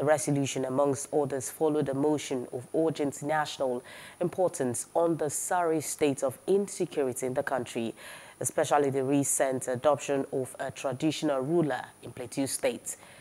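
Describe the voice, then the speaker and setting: A woman speaks at a moderate pace with a dark, mellow tone. Her pitch is very deep and low, and her intonation stays fairly even. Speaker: news anchor. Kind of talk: news reading. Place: studio. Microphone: lapel.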